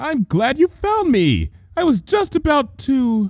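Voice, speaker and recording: A man puts on a character voice with an extremely high pitch. He speaks at a fairly slow pace with very wide pitch swings. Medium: read story.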